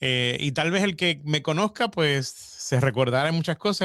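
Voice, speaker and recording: This man's pitch is fairly high, with ordinary variation, and his pace is moderate. The sound is dry and close with no echo. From Puerto Rico (Fajardo). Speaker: radio programming director. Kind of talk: interview. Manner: halting, many repetitions.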